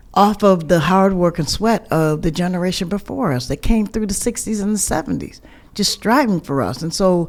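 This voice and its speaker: A woman in an American accent talks at a moderate pace with a medium pitch. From US, small town outside Syracuse. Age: 60s. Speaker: deputy mayor. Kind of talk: podcast interview. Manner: halting, many repetitions.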